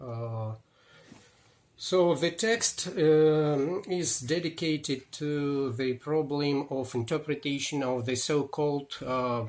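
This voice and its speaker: Very slow delivery in a Russian accent, with ordinary pitch variation. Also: man, fairly high pitch for a man. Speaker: historian. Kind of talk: book presentation. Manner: halting.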